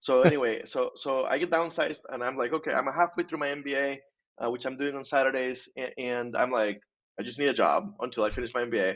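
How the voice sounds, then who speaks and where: A man with a Spanish accent at a very fast pace, fairly high in pitch with ordinary pitch variation. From Costa Rica. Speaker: insurance professional and author. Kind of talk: podcast interview.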